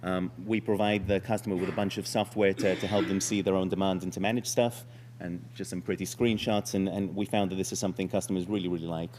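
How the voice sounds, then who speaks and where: This man talks at a very fast pace with hardly any pauses. His pitch is fairly low and varies in an ordinary way. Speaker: startup founder pitching. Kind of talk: startup pitch presentation. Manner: hesitant, many fillers.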